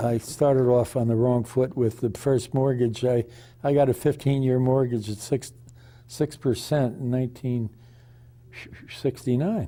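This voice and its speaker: Speaking at a moderate pace and medium pitch, a man has a dark, mellow, somewhat breathy tone, fairly even intonation, very even loudness and long, frequent pauses. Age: 80s+. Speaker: retired chemist and author. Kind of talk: interview. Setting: television studio. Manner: halting, many restarts and fillers.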